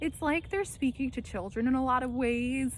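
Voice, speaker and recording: A woman's high-pitched voice with an American accent. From New Jersey / New York area. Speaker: actor and vlogger. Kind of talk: casual monologue vlog. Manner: clear enunciation; hesitant, many fillers.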